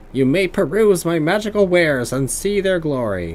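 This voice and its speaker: A man puts on a character voice, pitched high, at a moderate pace. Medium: game stream. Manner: mumbling, scattered.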